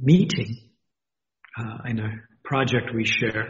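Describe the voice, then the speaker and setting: Somewhat breathy, a man's voice moves at a very slow pace. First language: not English. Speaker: university dean. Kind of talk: interview.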